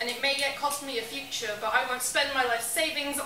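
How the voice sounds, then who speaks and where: A woman's raised, projected, high-pitched voice at a very fast pace, with audible room echo and light background noise. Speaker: spoken word poet. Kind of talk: spoken word poetry performance. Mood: earnest, emotional. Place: bar. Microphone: camera far.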